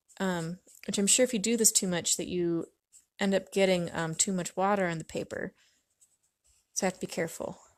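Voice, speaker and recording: In an American accent, a soft-spoken woman at medium pitch talks at a fairly quick pace with long, frequent pauses and fairly even intonation, on a very clean recording with a silent background. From US Pacific Northwest, Washington State. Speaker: artist livestreamer. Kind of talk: casual livestream chat while painting. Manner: hesitant, many fillers.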